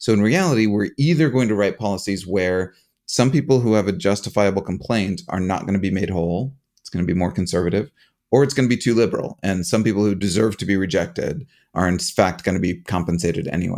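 A man with a fairly low pitch talks at a very fast pace with ordinary pitch variation. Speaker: professor and podcast host. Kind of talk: casual chat.

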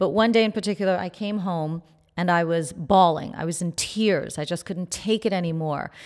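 Very clean recording with a silent background of a woman's fairly low, plain, everyday voice with an American accent, moderate pace and ordinary pitch variation. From New York, Haitian family. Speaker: plastic surgeon and beauty podcast host. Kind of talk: interview.

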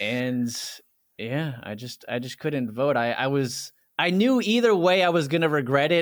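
In a plain, everyday voice with an American accent, a man speaks at a moderate pace with a fairly high pitch and lively intonation. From Washington, D.C. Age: 30s. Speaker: video creator. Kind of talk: casual interview conversation.

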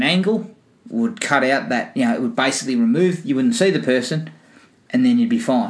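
Fairly quick speech in an Australian accent. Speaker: movie podcast host. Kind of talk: casual chat. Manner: casual, joking, swears.

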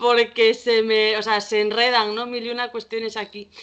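A woman's fairly high-pitched voice moves at a moderate pace. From Spain, Galicia (Vigo). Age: 20s. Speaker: social worker. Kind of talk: casual chat.

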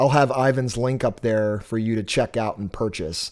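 A man talks at a moderate pace in a normal speaking voice, pitched in the medium range. He speaks with an American accent. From Massachusetts. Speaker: podcast host, album reviewer. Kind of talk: casual interview.

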